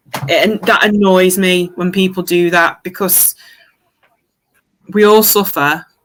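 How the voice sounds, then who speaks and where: With an East Midlands accent, a woman speaks at medium pitch and a fairly slow pace, her intonation fairly even and her pauses long and frequent. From Derby, English East Midlands. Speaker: football fan. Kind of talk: casual chat.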